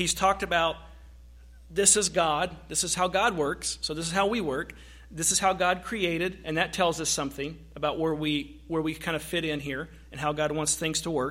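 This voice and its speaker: There's vocal fry in this man's bright, sharp voice, his intonation fairly even on a very clean recording with a silent background. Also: fairly high pitch for a man, moderate pace. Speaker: pastor. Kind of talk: sermon. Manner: halting.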